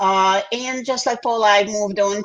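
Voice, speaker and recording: With a Russian accent, a woman speaks in a fairly even intonation. Noticeable background noise can be heard. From Belarus. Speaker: interpreter and livestream co-host. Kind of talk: livestream casual presentation. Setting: livestream.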